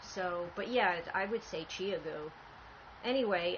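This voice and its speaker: This woman has a plain, everyday voice at a medium pitch. Her pitch varies in an ordinary way. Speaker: podcast host, knitter. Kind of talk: casual chat. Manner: soft-spoken.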